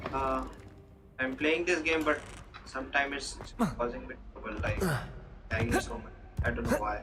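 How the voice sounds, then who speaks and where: A man with an Indian accent talks at a moderate pace with long, frequent pauses, over music in the background and audible room echo. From northern India, Delhi. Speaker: gaming streamer. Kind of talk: casual live-stream chat. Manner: low volume. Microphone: voice too quiet under game audio.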